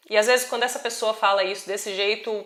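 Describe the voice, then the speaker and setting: This woman speaks at a fairly high pitch. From Brazil. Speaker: travel vlogger. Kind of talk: personal vlog monologue.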